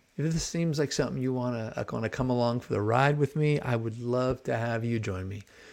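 A man with an American accent has an unremarkable speaking voice at medium pitch. He talks fairly quickly, with ordinary pitch variation. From US West Coast, San Francisco Bay Area (Marin). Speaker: rabbi and sports card podcaster. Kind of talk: casual solo podcast monologue.

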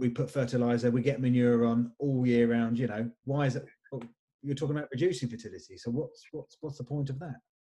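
A man speaks at a very fast pace, somewhat breathy, with a dark, mellow tone and fairly even intonation. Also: medium pitch for a man. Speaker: podcast host. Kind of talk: casual interview chat. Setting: video call.

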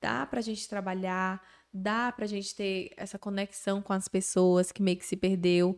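A woman's animated tone comes across on a very clean recording with a silent background. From Bahia, Brazil. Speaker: social media influencer. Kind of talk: casual interview chat. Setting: studio.

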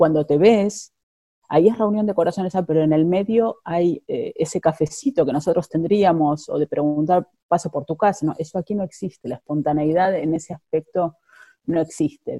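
At a moderate pace, a woman speaks with a fairly low pitch, ordinary pitch variation and a dark, mellow tone, the sound dry and close with no echo. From Argentina, Buenos Aires. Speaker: immigrant interviewee. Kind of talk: interview. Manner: halting, many fillers and repetitions.

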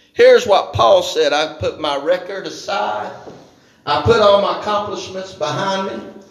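Moderate pace and ordinary pitch variation, with audible room echo and noticeable background noise. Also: man, high pitch for a man. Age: 50s. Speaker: pastor. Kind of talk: evening church sermon, fervent call-and-response revival preaching. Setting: church service with congregation. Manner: impassioned, rhythmic preaching cadence punctuated by hallelujahs and amens; rising exhortation, urging congregation to shout praise.

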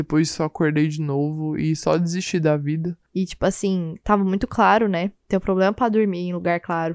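A woman talks at a moderate pace with hardly any pauses and ordinary pitch variation, in a dry, close sound with no echo and a quiet background. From Brazil, Goiânia. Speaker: podcast host. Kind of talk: casual solo monologue. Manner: animated.

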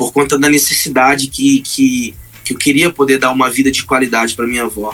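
Noticeable background noise behind a man with a fairly high pitch, speaking at a moderate pace. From Brazil, Pará (Marabá). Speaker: gospel singer. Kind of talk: testimony.

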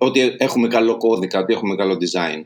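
Here a man is talking. His pace is fairly quick. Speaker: web developer and software entrepreneur. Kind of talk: casual interview.

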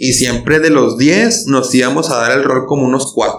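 A man's medium-pitched voice with a Mexican accent. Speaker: podcast host. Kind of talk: casual chat.

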